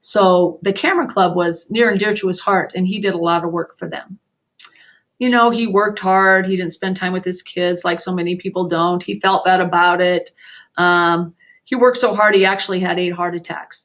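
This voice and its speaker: A woman talks in an unremarkable speaking voice at a medium pitch with fairly even intonation. The recording is very clean, with a silent background. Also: moderate pace. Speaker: teacher. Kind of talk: lecture.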